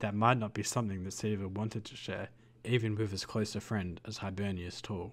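With fairly even intonation, the voice reads in an unforced way.

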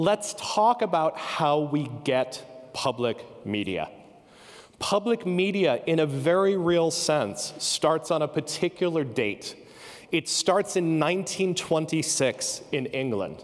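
A man speaks at a fairly high pitch with lively intonation. His pace is very slow. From United States. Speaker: professor. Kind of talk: conference keynote talk. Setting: stage with audience. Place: stage. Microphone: handheld.

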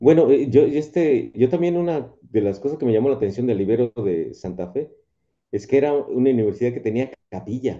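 A man's medium-pitched voice, dark and mellow in tone, at a fairly quick pace with lively intonation against a quiet background. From Mexico City, south (Contreras); Mexico City. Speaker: rock musician and professor; guest. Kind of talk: casual chat; interview answer. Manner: halting. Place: home room. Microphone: earbuds.

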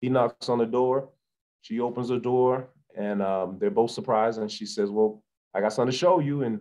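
The man's voice has a dark, mellow tone. He speaks at a fairly quick pace against a quiet background. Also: ordinary pitch variation. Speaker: guest. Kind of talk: interview answer. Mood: earnest, reflective. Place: home room. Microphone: video call.

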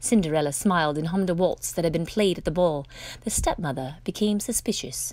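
At a fairly quick pace, the voice has a slightly mellow tone and ordinary pitch variation. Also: woman, fairly low pitch for a woman.

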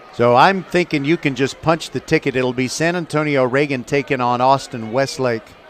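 Speech moves at a moderate pace with hardly any pauses. Pitch varies in an ordinary way over noticeable background noise. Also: man, fairly high pitch for a man. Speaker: radio play-by-play broadcaster. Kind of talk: live baseball play-by-play commentary. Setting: ballpark broadcast at university stadium.

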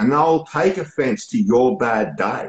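A man with a strong Australian accent, fairly high pitch, vocal fry and lively intonation speaks at a moderate pace over a quiet background with audible room echo. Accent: broad Australian. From Australia, Melbourne suburbs. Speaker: poet. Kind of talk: casual interview. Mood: open, reflective. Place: home room. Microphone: video call.

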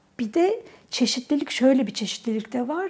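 A woman is speaking. She keeps a moderate pace. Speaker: interviewee. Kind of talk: interview answer. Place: office. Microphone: lapel.

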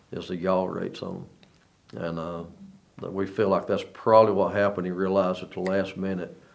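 Speaking at a moderate pace, a man has a very deep, low pitch. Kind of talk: interview answer. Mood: calm, reflective. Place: studio.

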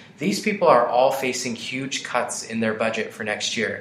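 Over noticeable background noise and audible room echo, a man speaks at a moderate pace with an American accent. His pitch is medium, with ordinary pitch variation. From Colorado, Adams County. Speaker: state senator. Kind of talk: interview.

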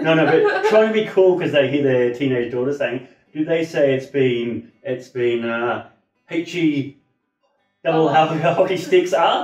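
A man's fairly high voice with an Australian accent, at a fairly slow pace with ordinary pitch variation, audible room echo and a quiet background. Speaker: English teacher. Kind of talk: casual conversation on camera. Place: home room. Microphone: camera far.

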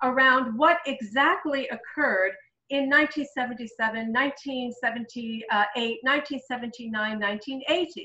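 A raised, projected voice with a bright, sharp tone and lively intonation, audible room echo, and a quiet background. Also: woman. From Iran. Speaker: sociology professor and webinar moderator; sociology professor, webinar moderator. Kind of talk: moderated webinar discussion. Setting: video call. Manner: halting, many fillers. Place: home room. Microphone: webcam.

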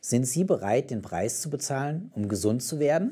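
Here a man speaks at a moderate pace. The background is quiet. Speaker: German-language show presenter. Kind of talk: announcement, closing message. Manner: formal, warm. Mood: warm, calm, encouraging.

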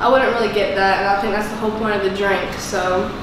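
A woman's voice comes through noticeable background noise and strong room echo. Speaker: vlogger. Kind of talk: casual vlog chat. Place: home room. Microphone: camera far.

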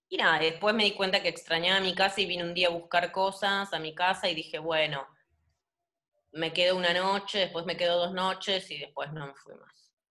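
A woman talks at a moderate pace with a fairly low pitch against a quiet background. Her intonation is monotone and flat. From Argentina. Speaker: painter; interviewee. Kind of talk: casual interview. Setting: home, video call. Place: home room. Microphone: video call.

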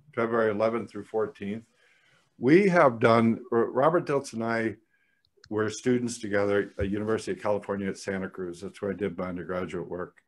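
A man talks at a fairly quick pace with a fairly low pitch and ordinary pitch variation. He has a normal speaking voice. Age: 60s. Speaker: psychologist and psychotherapy trainer; psychotherapy trainer. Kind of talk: interview conversation. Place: home room. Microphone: studio mic.

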